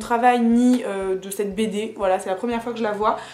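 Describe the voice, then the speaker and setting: Over noticeable background noise and audible room echo, a woman with a fairly high voice talks at a moderate pace with fairly even intonation. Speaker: book and haul YouTuber. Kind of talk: casual vlog haul. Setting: home video recording. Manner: hesitant with fillers.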